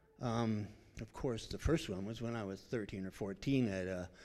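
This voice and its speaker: At a fairly slow pace, a man speaks with a dark, mellow tone. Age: 70s. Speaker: church member sharing testimony. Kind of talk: testimony.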